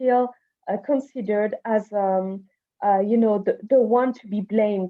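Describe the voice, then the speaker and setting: A woman speaks with a French accent. Her pace is fairly slow, with ordinary pitch variation. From Madagascar. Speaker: climate activist. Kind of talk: panel discussion. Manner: halting, many fillers.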